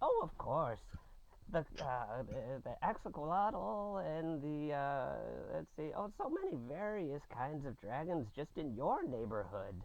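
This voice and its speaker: Fairly slow, fairly high-pitched put-on character voice from a man. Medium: actual play. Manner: eager, rambling.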